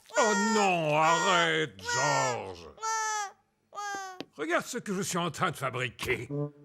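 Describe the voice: A man's cartoonish character voice, fairly high for a man, at a fairly slow pace with long, frequent pauses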